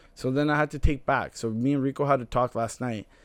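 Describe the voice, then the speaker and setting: Against a quiet background, a man with a plain, everyday voice talks at a fairly quick pace in a medium pitch with fairly even intonation. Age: 20s. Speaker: podcast co-host. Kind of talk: casual chat.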